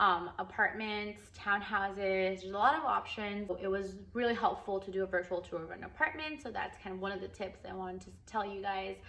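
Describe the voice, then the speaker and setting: A woman speaks at a medium pitch with ordinary pitch variation and hardly any pauses. Her loudness swings widely over noticeable background noise. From California, Los Angeles (from Philippines at 11). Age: 20s. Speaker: vlogger. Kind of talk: casual vlog talk with tips. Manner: casual, many fillers (um, like).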